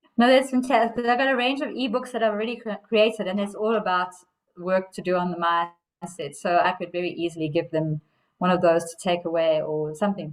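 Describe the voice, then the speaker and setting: A woman with a South African accent, medium pitch, lively intonation and a fairly quick pace. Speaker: coach. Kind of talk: casual chat.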